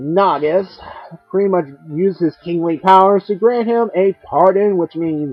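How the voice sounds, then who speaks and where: The speech moves at a very slow pace while music plays in the background. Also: man. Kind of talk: casual comic review. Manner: stutters a bit.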